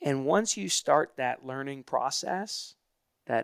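Speaking at a very slow pace, a man with an American accent has a fairly high pitch and lively intonation, recorded with a dry, close sound and no echo. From US South, Hilton Head Island, South Carolina. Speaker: author and gratitude speaker. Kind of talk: interview. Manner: halting, many fillers.

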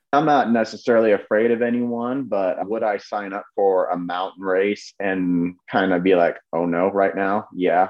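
Using a plain, everyday voice, a man talks at a fairly low pitch and a moderate pace with ordinary pitch variation and hardly any pauses. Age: 20s. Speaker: ultramarathon runner. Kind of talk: casual interview chat.

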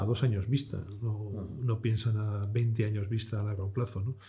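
Somewhat breathy, a man with a dark, mellow tone talks at a medium pitch with fairly even intonation. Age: 50s. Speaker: fund manager. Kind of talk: interview.

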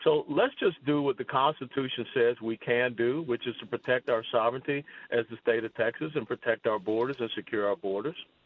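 A man with an American accent and an unremarkable speaking voice, medium pitch, ordinary pitch variation, a fairly quick pace and hardly any pauses. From US South, Georgia. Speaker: politician and retired army officer. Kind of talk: radio interview.

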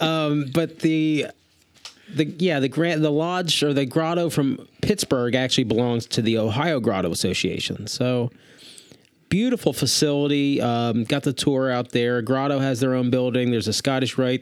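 A man with an American accent talks at a moderate pace in a medium-pitched voice. His loudness is very even, his pitch varies in an ordinary way, and there is noticeable background noise. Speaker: podcast co-host. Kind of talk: casual chat. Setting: studio. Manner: animated.

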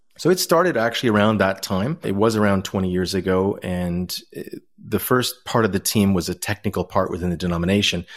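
A man with a Canadian accent and a plain, everyday voice, fairly low in pitch with ordinary pitch variation, at a fairly quick pace on a very clean recording with a silent background. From Ontario, Canada. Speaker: Anglican priest and social enterprise founder. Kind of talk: interview.

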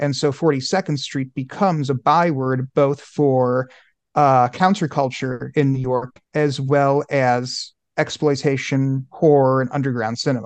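A man with an American accent speaks slowly, fairly so, at a fairly high pitch. His intonation is fairly even, in a plain, everyday voice. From Oklahoma, Broken Arrow. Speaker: author and journalist. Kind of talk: podcast interview.

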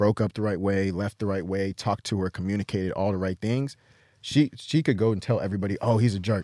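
On a very clean recording with a silent background, a man with an American accent talks at a very fast pace in a fairly low voice with a dark, mellow tone, the sound dry and close with no echo. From US. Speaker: podcast host. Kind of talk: casual chat. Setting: studio.

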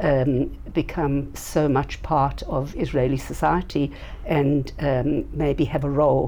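A woman's very deep, low voice in a South African accent, with noticeable background noise. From South Africa, Johannesburg. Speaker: nonprofit founder. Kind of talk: interview. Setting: in person at organization headquarters.

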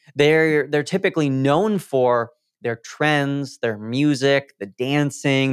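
A man with a normal speaking voice, fairly high in pitch, at a fairly slow pace, on a very clean recording with a silent background. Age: 20s. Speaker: Instagram growth coach. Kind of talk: interview.

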